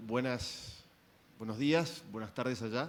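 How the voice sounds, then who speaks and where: A man speaks with an Argentine accent at a moderate pace. His pitch is medium, with ordinary variation. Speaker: physician asking question. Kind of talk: audience question at medical symposium.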